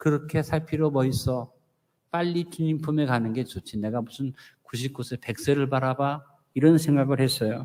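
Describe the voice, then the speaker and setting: A man with a normal speaking voice holds a medium pitch, ordinary pitch variation and a moderate pace. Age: 60s. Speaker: pastor. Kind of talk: sermon.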